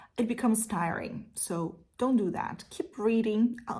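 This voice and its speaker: Her dark, mellow tone is somewhat breathy, and this woman uses ordinary pitch variation. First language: Portuguese. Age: 30s. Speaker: literature teacher. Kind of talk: casual Q&A monologue. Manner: hesitant with fillers.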